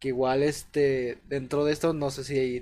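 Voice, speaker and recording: This man speaks at a medium pitch in a monotone, flat intonation. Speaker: podcast host. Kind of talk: casual chat.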